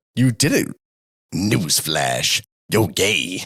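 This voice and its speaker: Using a put-on character voice, a man growls in a very deep, low, raspy pitch. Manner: mocking.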